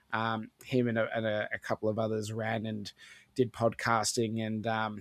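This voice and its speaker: A man with an Australian accent, fairly low-pitched and monotone, in a dry, close recording with no echo. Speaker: gaming podcaster. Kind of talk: casual chat.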